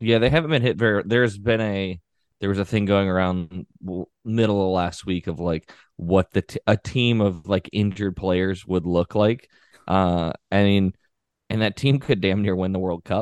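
A man speaks in a normal speaking voice at a fairly low pitch, with ordinary pitch variation, over a quiet background, and the sound is dry and close with no echo. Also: moderate pace. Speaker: soccer podcast host. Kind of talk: casual sports podcast chat.

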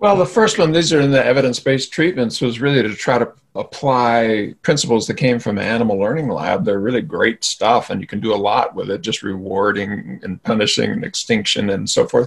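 A man's normal speaking voice at a medium pitch, fairly quick in pace with hardly any pauses and lively intonation. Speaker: psychologist and therapy founder. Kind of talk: interview conversation.

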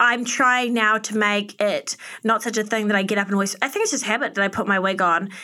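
A woman's fairly high, bright and sharp voice with a New Zealand accent, very fast pace, fairly even intonation and very even loudness. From New Zealand, Auckland. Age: 30s. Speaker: fashion and beauty influencer. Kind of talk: casual interview chat.

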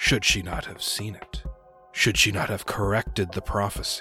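The speaker uses a put-on character voice. Clear music plays in the background. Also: man. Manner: grandiose, archaic, lecturing.

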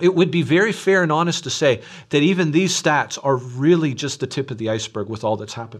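Here is a man with an ordinary speaking voice. His pitch is fairly high and his intonation lively. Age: 40s. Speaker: pastor. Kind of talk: sermon. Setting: recorded online church service.

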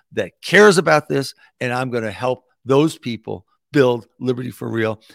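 With an American accent and lively intonation, a man speaks at a medium pitch in a dry, close sound with no echo, on a very clean recording with a silent background. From New York City. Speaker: political activist. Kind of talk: interview. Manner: halting.

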